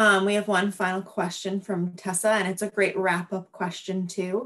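Over a quiet background, a woman speaks in a monotone, flat way. Her pace is moderate. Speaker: nature educator and panel moderator; nature educator, panel moderator. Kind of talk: panel moderation. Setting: video call. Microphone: video call.

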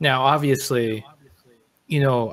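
Here a man talks in an ordinary speaking voice at medium pitch. His pace is fairly slow. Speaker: podcast host. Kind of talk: casual chat. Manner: casual, filler-heavy.

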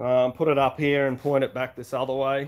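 This speaker has an Australian accent. The pace is moderate. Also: man. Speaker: YouTuber, motorbike channel host. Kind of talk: casual live stream chat. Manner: halting, many fillers. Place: garage. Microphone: camera far.

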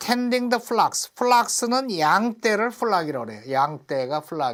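An animated man with lively intonation is heard in a very clean recording with a silent background. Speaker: English teacher teaching through Bible reading. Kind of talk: lecture.

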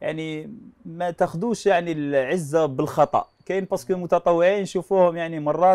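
Against a quiet background, a man with a high pitch speaks with hardly any pauses. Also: fairly even intonation, moderate pace. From Algeria. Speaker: TV show host. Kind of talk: TV talk show. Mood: warm, smiling. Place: studio. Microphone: lapel.

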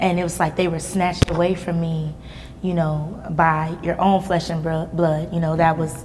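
Over music in the background, a woman with a fairly low pitch speaks at a moderate pace in a monotone, flat intonation. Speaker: interview guest. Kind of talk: interview answer. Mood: somber personal story of trauma. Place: hall.

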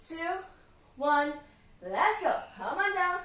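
Speaking at a very slow pace, a woman uses an extremely high pitch with ordinary pitch variation, and audible room echo surrounds her voice. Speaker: fitness instructor. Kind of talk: live workout coaching cues, counting through interval reps. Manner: brisk, encouraging commands with short clipped instructions; calm, reassuring reminders to slow down and modify. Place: home room.

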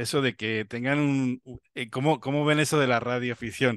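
Here a man speaks at a moderate pace with a medium pitch. The background is quiet, and the sound is dry with no echo. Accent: Spanish. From Spain. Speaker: amateur radio show host. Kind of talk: interview. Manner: halting, repetitive. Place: home room. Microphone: video call.

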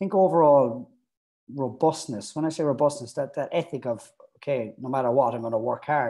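Against a quiet background, a man with a fairly high pitch and a dark, mellow tone speaks at a moderate pace. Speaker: youth academy strength and conditioning coach. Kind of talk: interview. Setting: video call. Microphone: earbuds.

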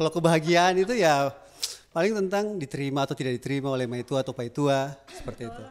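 A man talks at a very fast pace in an animated tone, with ordinary pitch variation. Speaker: alumnus doing stand-up comedy. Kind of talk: stand-up comedy. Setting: stage with audience. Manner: animated, jokey, chatty, with audience interaction and laughs. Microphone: handheld.

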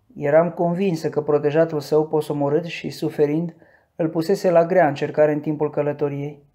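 Against a quiet background, the voice proceeds at a moderate pace. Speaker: audiobook narrator. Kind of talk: dramatic audiobook narration with character voices.

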